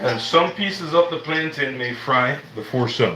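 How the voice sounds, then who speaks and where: The man's pitch varies in an ordinary way, while audible room echo and noticeable background noise come through. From Jamaica. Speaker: cooking livestreamer. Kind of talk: live cooking stream with chat. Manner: casual, conversational.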